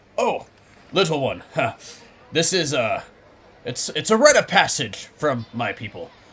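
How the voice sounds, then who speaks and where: Speaking in a put-on character voice, a man pitches himself fairly high. He keeps a moderate pace broken by long, frequent pauses. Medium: actual play. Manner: loud, blustering.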